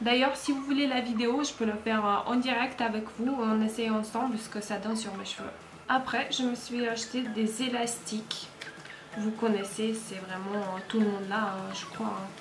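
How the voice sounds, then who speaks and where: With a non-native accent, a woman of fairly high pitch speaks at a fairly slow pace and fairly even intonation over noticeable background noise. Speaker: haul vlogger. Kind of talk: casual talk to camera.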